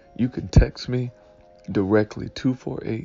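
A man's pitch varies in an ordinary way while music plays in the background. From Detroit, Michigan. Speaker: pastor. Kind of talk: Sunday morning devotional talk.

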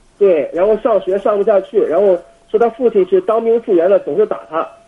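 A man talks at a very fast pace with a high pitch. Noticeable background noise can be heard. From Jinan, Shandong, China. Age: 20s. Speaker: university exchange student, caller. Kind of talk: phone call-in conversation. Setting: international phone call. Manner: halting, many fillers.

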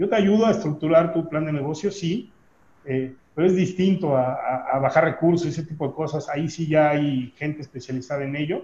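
Speaking at a fairly quick pace, a man uses a fairly high pitch and a dark, mellow tone. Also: ordinary pitch variation. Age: 40s. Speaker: business trainer and consultant. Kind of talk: interview conversation.

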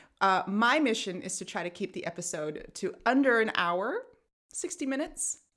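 This woman talks at a moderate pace with an American accent, her fairly high pitch swinging very widely. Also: very clean recording, silent background. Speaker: podcast host. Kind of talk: casual chat. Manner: laughs often.

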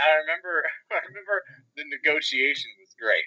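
At a fairly quick pace, a man speaks in an American accent. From Philadelphia area, US. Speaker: venture capitalist. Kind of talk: casual interview. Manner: halting, many fillers.

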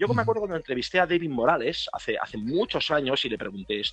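Over music in the background, a man speaks very fast at a fairly high pitch, his voice making very wide pitch swings. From Spain, Bilbao (Basque Country). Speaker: DJ. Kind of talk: casual chat.

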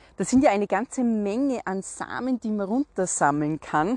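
In a Salzburg accent, a woman talks at a fairly slow pace. Her pitch swings very widely, in a dry, close sound with no echo. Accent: Austrian German (Salzburg). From Austria, Salzburg. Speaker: podcast host, herbal walk guide. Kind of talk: solo podcast talk, educational.

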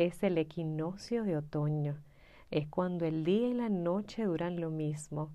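A female voice, fairly low for a woman, moves very slowly and shifts in pitch in a normal way. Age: 30s. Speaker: astrology mentor podcaster. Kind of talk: reflective solo monologue.

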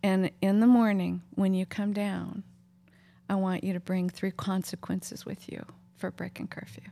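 A woman's dark, mellow voice at medium pitch, moderate pace, monotone, flat intonation, and big swings in loudness. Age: 60s. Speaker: podcast host and counselor. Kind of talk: casual interview chat. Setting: home living room.

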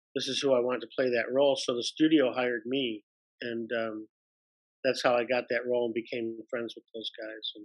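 A man speaks at a moderate pace with an American accent, his pitch medium. It is an ordinary speaking voice, with a dry, close sound and no echo. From US Midwest, Detroit, Michigan. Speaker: actor and improviser. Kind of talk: casual interview.

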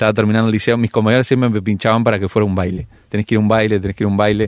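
In dry, close sound with no echo, a man speaks with a fairly low pitch and fairly even intonation. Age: 30s. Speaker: pastor and youth leader. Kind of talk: radio interview.

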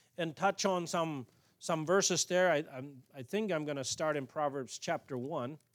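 A man talks with an American accent and lively intonation. The sound is dry and close, with no echo. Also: very clean recording, silent background. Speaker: pastor. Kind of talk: sermon. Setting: church.

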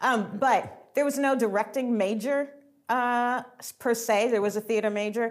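Fairly high in pitch and with an American accent, a woman uses a normal speaking voice at a moderate pace, keeping her intonation fairly even while her loudness swings widely. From Atlanta, US South. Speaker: theater director. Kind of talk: interview conversation.

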